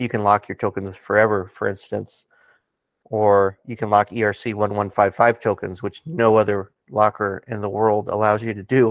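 This man has a normal speaking voice, fairly low in pitch, with fairly even intonation at a moderate pace. The recording is very clean and silent behind him, with a dry, close sound and no echo. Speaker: crypto community ambassador. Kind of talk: casual interview chat.

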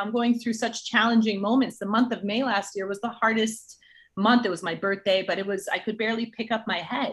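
At a fairly quick pace, a woman talks in a normal speaking voice with fairly high pitch. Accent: American. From New Jersey. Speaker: entertainment partnerships executive and track athlete. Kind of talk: interview.

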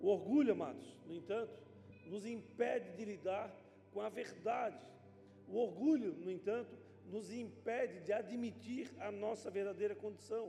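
Noticeable background noise and audible room echo fill the recording. The speech moves at a fairly slow pace with ordinary pitch variation. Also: man, high pitch for a man. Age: 50s. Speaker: pastor. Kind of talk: sermon.

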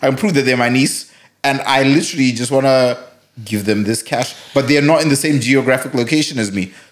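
Ordinary pitch variation at a fairly quick pace. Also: man, medium pitch for a man. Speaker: podcast co-host. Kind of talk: casual chat.

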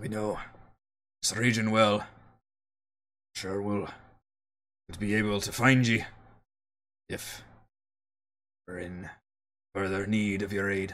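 Put on as a character voice, the speech moves at a fairly slow pace with long, frequent pauses. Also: man, fairly low pitch for a man. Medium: actual play. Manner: terse, clipped sentences.

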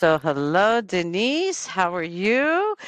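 This woman, in an American accent, speaks with very wide pitch swings. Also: quiet background. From US, Miami, Florida. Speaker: podcast host. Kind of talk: interview.

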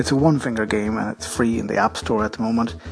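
With an Irish accent, a man speaks at a fairly quick pace and medium pitch with ordinary pitch variation over noticeable background noise. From Ireland. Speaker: podcaster. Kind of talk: casual app recommendation. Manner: casual, conversational with fillers.

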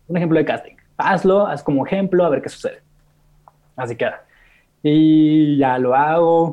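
Pausing long and often, a man with a fairly high pitch speaks at a moderate pace with ordinary pitch variation. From Mexico, Monterrey. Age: 20s. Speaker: content creator. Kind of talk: interview.

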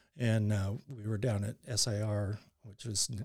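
Very clean recording, silent background, of a somewhat breathy man at a fairly low pitch, his intonation fairly even. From Canada, Surrey near Vancouver. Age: 50s. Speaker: coworker guest. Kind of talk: casual chat.

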